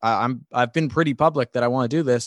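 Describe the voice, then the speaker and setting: An unremarkable speaking voice moves at a moderate pace with ordinary pitch variation, recorded with a dry, close sound with no echo against a quiet background. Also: man. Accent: American. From New York. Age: 20s. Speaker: sports broadcaster. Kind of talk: interview.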